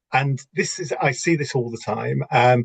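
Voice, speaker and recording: Somewhat breathy, a man speaks with ordinary pitch variation in a dry, close sound with no echo. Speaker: business coach and entrepreneur. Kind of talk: lecture.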